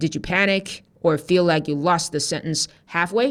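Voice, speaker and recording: A woman with a non-native accent talks at a fairly low pitch. Her intonation is lively. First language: not English. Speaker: TOEFL teacher. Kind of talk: tutorial.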